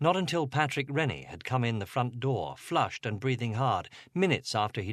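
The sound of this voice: The reading voice is unforced, and its intonation is lively.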